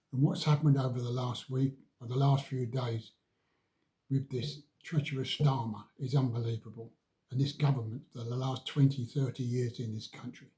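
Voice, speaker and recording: A man with an English accent talks at a moderate pace, his tone dark and mellow. His voice is somewhat breathy, with fairly even intonation. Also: medium pitch for a man. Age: 80s+. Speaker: vlogger. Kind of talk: political rant.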